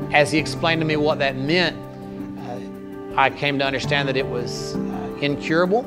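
Clear music plays in the background as a man speaks with ordinary pitch variation. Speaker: pastor telling his story. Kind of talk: interview answer. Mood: calm, reflective testimony. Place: church. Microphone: lapel.

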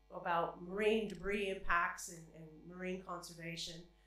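A woman speaks at a fairly slow pace with fairly even intonation, a fairly low pitch and a fairly bright tone, and there is strong room echo.

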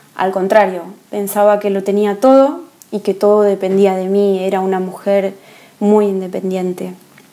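Speaking with an Argentine accent, a woman keeps her intonation fairly even. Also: moderate pace. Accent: Argentine Spanish (Rioplatense, voseo). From Argentina. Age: 30s. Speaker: woman giving her conversion testimony. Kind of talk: testimony. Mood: calm, earnest, reflective. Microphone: earbuds.

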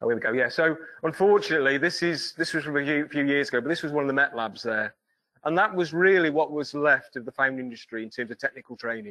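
Over a quiet background, a man speaks very fast in a fairly high voice, his tone bright and sharp, his pitch varying in an ordinary way. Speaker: foundry tutor. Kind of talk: presentation. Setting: stage with audience. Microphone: video call.

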